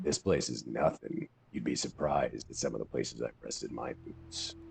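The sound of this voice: A man performs in a put-on character voice. His pace is moderate.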